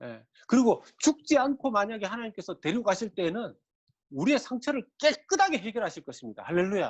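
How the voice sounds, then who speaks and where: A man's high-pitched voice in an animated tone. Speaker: pastor. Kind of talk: sermon.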